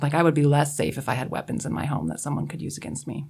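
Her voice carries vocal fry and sits at a very deep, low pitch for a woman. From eastern Washington, small town. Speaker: co-host. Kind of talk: radio panel discussion. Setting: studio.

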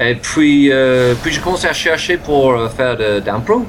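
Noticeable background noise runs under this recording. A man speaks at a medium pitch and moderate pace with lively intonation. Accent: English. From England. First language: English (speaking French). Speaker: improv actor and teacher. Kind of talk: interview. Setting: video call.

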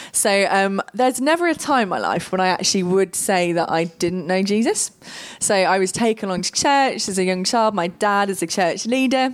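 In a plain, everyday voice, a woman speaks at medium pitch and a moderate pace with ordinary pitch variation. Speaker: guest speaker. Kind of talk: panel discussion. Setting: stage with audience.

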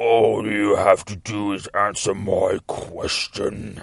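A man uses a raspy, put-on character voice at a very slow pace. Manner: menacing.

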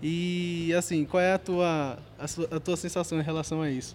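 This man's voice sits fairly high and moves at a moderate pace. His intonation stays monotone and flat. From Pernambuco interior, Brazil. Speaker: college podcast host. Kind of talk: event interviews. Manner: halting.

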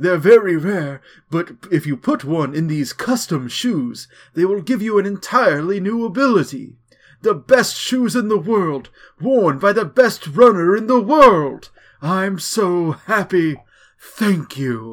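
On a very clean recording with a silent background, a man uses a put-on character voice, high-pitched and fairly slow, with very wide pitch swings. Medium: solo performance. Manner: earnest, grateful.

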